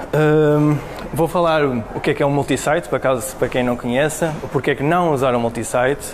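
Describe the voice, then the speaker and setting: The speech moves at a fairly quick pace, with audible room echo and noticeable background noise. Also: man. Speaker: web developer, meetup speaker. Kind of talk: tech talk presentation. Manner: halting, many fillers.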